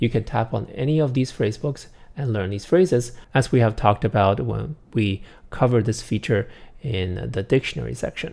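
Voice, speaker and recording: A medium-pitched man with a Chinese accent and vocal fry, at a fairly quick pace with ordinary pitch variation, on a very clean recording against a silent background. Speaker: app developer presenting product tutorial. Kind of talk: tutorial. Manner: casual with many filler uhs.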